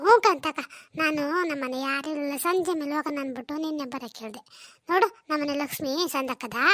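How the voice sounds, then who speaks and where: A cartoonish character voice with ordinary pitch variation moves at a moderate pace in a dry, close recording with no echo. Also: woman, high pitch for a woman. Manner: chatty, boastful.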